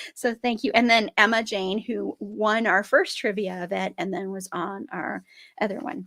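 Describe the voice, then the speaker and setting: Moderately paced speech from a woman, medium in pitch, with vocal fry and ordinary pitch variation. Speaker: podcast host. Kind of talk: casual chat.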